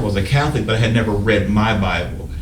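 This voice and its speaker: Noticeable background noise and audible room echo accompany a man talking at a fairly quick pace with ordinary pitch variation. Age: 60s. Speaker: prophet, Vietnam veteran. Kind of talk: interview testimony.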